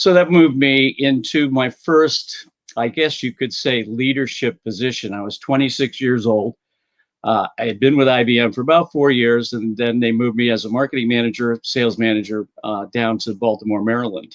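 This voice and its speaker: A man with an American accent talks at medium pitch with ordinary pitch variation. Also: moderate pace. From US Northeast, Boston area. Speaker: sales consultant and former executive. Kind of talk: interview about career.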